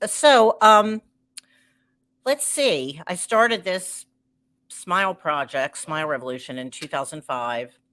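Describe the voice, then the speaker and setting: On a very clean recording with a silent background, a woman with a Baltimore accent speaks at a fairly slow pace in a bright, sharp tone, with very wide pitch swings, big swings in loudness, and long, frequent pauses. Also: medium pitch for a woman. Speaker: entertainer and live show host. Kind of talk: live stream show intro. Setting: live stream.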